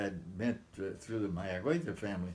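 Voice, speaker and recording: Fairly quick speech from a man with an American accent, plus audible room echo. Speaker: retired immigration officer. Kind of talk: family history interview. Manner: halting.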